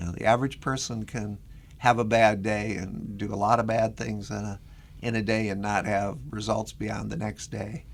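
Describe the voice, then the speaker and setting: With vocal fry and a fairly low pitch, a man talks at a moderate pace in fairly even intonation. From Minnesota. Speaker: research professor with spinal cord injury. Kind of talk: interview.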